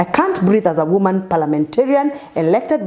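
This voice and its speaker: Amid noticeable background noise, a woman talks in an animated tone at a fairly quick pace, her pitch swinging very widely. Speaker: politician. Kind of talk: interview.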